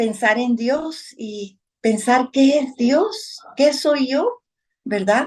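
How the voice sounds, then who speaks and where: Speaking at a very slow pace, a woman uses lively intonation and a high pitch. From Guatemala, Guatemala City and Suchitepéquez countryside. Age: 50s. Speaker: spiritual devotee sharing life story. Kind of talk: personal testimony.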